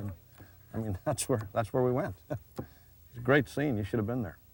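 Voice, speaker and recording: With a plain, everyday voice, a man talks at a moderate pace. His pitch is medium, with ordinary pitch variation. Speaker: TV host and former baseball player. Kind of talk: comedic TV show banter.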